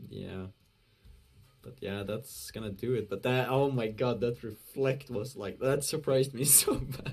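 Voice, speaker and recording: Using a non-native accent, a man talks at a fairly slow pace and a medium pitch. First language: not English. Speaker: esports commentator. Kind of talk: live commentary. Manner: halting; animated.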